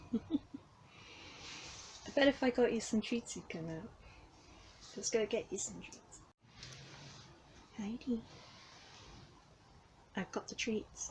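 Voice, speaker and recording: A woman whispers in a gentle, relaxed tone, very slowly and with long, frequent pauses. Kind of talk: ASMR cat whispering, casual talk to cats. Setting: cattery. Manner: soft-spoken, gentle, relaxed.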